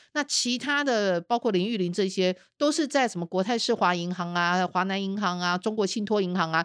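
Very cleanly recorded against a silent background, a woman speaks in a medium pitch. Her pace is fairly quick and her tone animated. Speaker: investigative journalist and podcast host. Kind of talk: casual chat.

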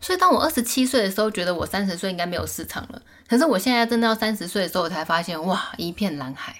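Very fast delivery with hardly any pauses, over noticeable background noise. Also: woman, medium pitch for a woman, lively intonation. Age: 30s. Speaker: YouTuber. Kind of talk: casual interview.

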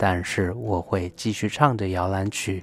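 The speech moves at a very slow pace with fairly even intonation, on a very clean recording with a silent background. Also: man. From Taiwan. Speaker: music expert. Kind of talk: radio talk on music history. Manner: halting with many fillers.

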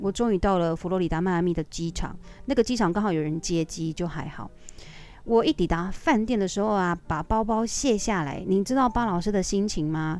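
A woman with a Taiwanese accent talks at a fairly quick pace and a medium pitch. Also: ordinary pitch variation. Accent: Taiwanese Mandarin. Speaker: aerobics instructor. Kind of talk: casual storytelling monologue.

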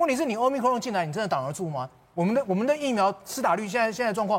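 Very fast and high-pitched, a man talks with very wide pitch swings. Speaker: TV political talk show commentator. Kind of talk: heated TV panel debate. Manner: emphatic, repetitive.

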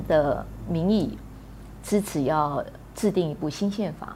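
A woman at a very slow pace, amid noticeable background noise. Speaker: columnist and activist. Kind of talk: interview.

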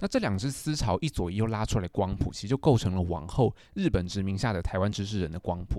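Very fast male speech in a Taiwanese accent, fairly low and dark, mellow in tone, with ordinary pitch variation on a very clean recording with a silent background. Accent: Taiwanese Mandarin. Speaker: literature graduate student, podcast co-host. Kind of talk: casual chat.

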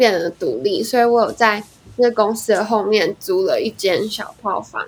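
In a normal speaking voice, a woman with fairly high pitch talks at a moderate pace with lively intonation. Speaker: singer-songwriter. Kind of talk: casual chat. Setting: online recording.

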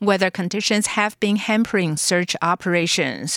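The recording is very clean, with a silent background. A woman with an unremarkable speaking voice talks at medium pitch and a moderate pace. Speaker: radio newsreader. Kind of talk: news reading. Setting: studio. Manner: formal; steady, brisk newsreader delivery.

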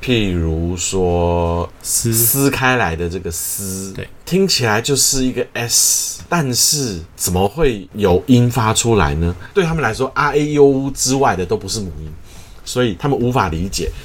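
Over noticeable background noise, the pitch rises and falls very widely. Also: man, medium pitch for a man, hardly any pauses. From Taiwan. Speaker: choir conductor. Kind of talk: interview.

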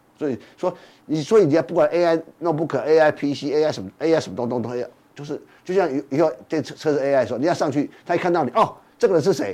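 A man talks very fast in a fairly high pitch with a dark, mellow tone. His pitch varies in an ordinary way. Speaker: financial magazine editor. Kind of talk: casual chat.

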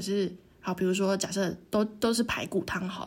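Somewhat breathy woman's voice at a medium pitch. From Taiwan, Tainan. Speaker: podcast co-host. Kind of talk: casual chat.

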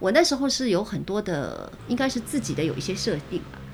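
This voice races along at a very fast pace, its pitch swinging very widely. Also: woman. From Shanghai, China. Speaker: radio host. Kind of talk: interview.

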